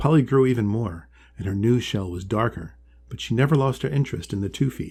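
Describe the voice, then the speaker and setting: A somewhat breathy man's voice of medium pitch, dark and mellow in tone, at a fairly quick pace with ordinary pitch variation, on a very clean recording with a silent background. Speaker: author and illustrator reading own story. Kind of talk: children's storybook reading.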